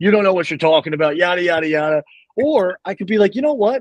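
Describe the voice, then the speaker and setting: A man speaks loudly in an animated tone with very wide pitch swings. The sound is dry and close, with no echo. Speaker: space content creator. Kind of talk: podcast interview.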